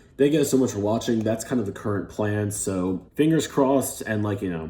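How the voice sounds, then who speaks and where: A man with a fairly low pitch and an American accent, at a fairly quick pace with ordinary pitch variation. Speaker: gaming YouTuber. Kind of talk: casual vlog talk. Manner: hesitant, many fillers.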